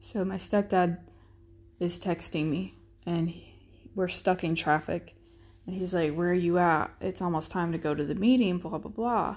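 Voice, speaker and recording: A woman with an American accent speaks in an ordinary speaking voice at a fairly low pitch. She keeps a moderate pace with ordinary pitch variation over a quiet background. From Florida. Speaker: soldier, podcast co-host. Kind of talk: personal storytelling monologue.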